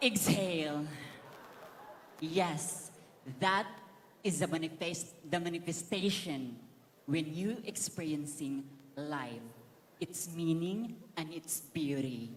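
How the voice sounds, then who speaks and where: With audible room echo, a woman at a fairly low pitch talks at a very slow pace, leaving long, frequent pauses. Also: ordinary pitch variation. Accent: Filipino. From Philippines, Camiguin Island. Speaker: beauty pageant contestant. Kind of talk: pageant interview. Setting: stage in stadium with audience. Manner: animated.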